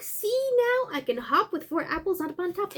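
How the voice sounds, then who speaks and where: Squeaky and extremely high, this is a put-on character voice at a moderate pace. Light background noise sits underneath. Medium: solo performance. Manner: boastful, singsong.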